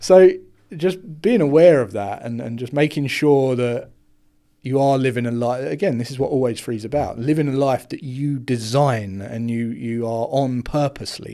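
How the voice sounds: A man talks at a moderate pace and medium pitch. His tone is dark and mellow, with ordinary pitch variation.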